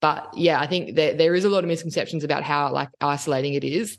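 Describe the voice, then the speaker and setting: In a quiet background, a woman speaks with an Australian accent. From Sydney, Australia. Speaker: occupational therapist, rural practitioner and podcaster. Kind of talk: casual chat. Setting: video call.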